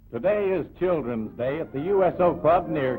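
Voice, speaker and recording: Noticeable background noise sits behind a man. He talks at a fairly slow pace with lively intonation. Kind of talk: newsreel narration.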